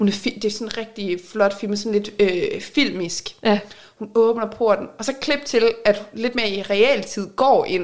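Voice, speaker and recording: A woman with an ordinary speaking voice talks at a fairly high pitch. Her intonation is fairly even and her pace fairly slow. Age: 30s. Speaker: podcast co-host, reality TV fan. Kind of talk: casual chat.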